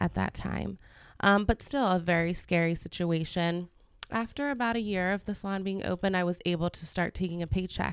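Over a silent background in a very clean recording, a woman uses an ordinary speaking voice, fairly low in pitch with ordinary pitch variation, at a fairly slow pace. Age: 30s. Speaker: salon owner. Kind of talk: casual chat.

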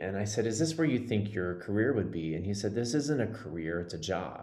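A man with an American accent has a normal speaking voice and a fairly low pitch. He talks at a fairly quick pace with lively intonation. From Texas. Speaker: Broadway actor and life coach. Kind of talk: casual interview.

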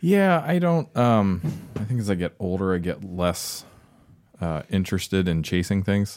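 An unremarkable speaking voice from a man with an American accent, fairly low in pitch, at a moderate pace with ordinary pitch variation. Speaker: whiskey tasting guest. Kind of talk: casual chat.

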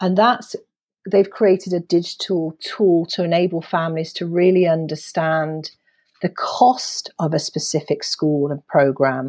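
Against a quiet background, a woman speaks at a fairly slow pace with a fairly low pitch and ordinary pitch variation. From Britain. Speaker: education and career readiness advocate. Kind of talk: podcast interview. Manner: animated.

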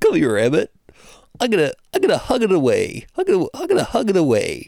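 Here a man uses a put-on character voice. He speaks at an extremely high pitch and a moderate pace. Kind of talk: comic, theatrical. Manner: silly, playful, comforting.

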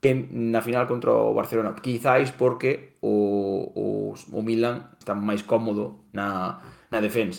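A Galician accent at a fairly slow pace with ordinary pitch variation. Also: man, medium pitch for a man. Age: 30s. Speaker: football pundit. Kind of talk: football history discussion.

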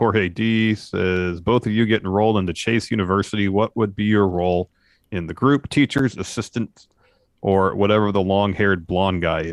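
This man has an ordinary speaking voice with a fairly low pitch. His pitch varies in an ordinary way. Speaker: wrestling podcast co-host. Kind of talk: casual chat, show recap and review. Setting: live on Twitch stream.

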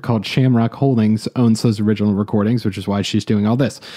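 This man has an unremarkable speaking voice at medium pitch. He talks at a fairly quick pace. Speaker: podcast host. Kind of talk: casual chat about music business news. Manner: rambling, hedging with fillers like you know.

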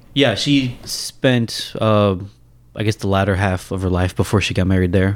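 In a Kentucky accent, a man speaks at a moderate pace and a fairly low pitch with ordinary pitch variation, on a very clean recording with a silent background. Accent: general American, Kentucky. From Louisville, Kentucky. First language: Indian language. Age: 30s. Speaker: guest, software developer. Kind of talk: casual chat.

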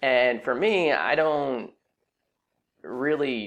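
A man speaks with an American accent in an unremarkable speaking voice, his pitch medium and its variation ordinary. The background is quiet. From California, Silicon Valley. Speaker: personal finance podcast host. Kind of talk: solo podcast explainer. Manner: conversational with frequent fillers.

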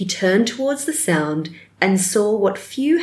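The speaker reads aloud. It is plain reading aloud.

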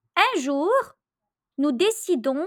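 A woman's high voice with very wide pitch swings at a very slow pace. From Lebanon. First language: Arabic (speaking Italian). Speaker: storyteller. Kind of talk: storytelling.

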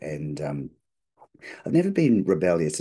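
With an Australian accent, a man talks at a very deep, low pitch in a dark, mellow tone with vocal fry. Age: 50s. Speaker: business strategy consultant. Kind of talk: interview conversation. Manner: halting, many fillers.

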